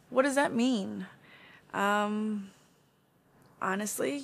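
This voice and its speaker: Ordinary pitch variation shapes this woman's speech. Her recording is very clean, and the background is silent. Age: 20s. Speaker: podcast host. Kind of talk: casual monologue. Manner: many fillers, um and you know.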